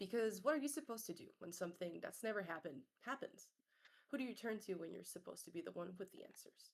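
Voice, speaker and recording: A woman talks at a very fast pace with vocal fry. Her pitch swings very widely. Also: medium pitch for a woman, big swings in loudness. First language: French. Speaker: content creator and streamer. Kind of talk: reading aloud own short story. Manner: occasional stumbles and self-corrections.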